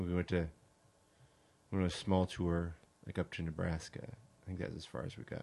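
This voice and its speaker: A man's very deep, low voice with ordinary pitch variation, at a fairly quick pace broken by long, frequent pauses. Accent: American. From California. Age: 40s. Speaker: artist and do-it-yourselfer. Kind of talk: casual chat. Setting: studio.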